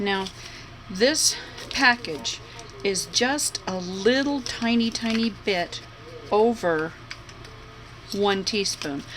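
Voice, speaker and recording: A woman's medium-pitched voice with lively intonation, a very slow pace, long and frequent pauses, and noticeable background noise. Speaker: home cook. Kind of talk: tutorial. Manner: casual, chatty.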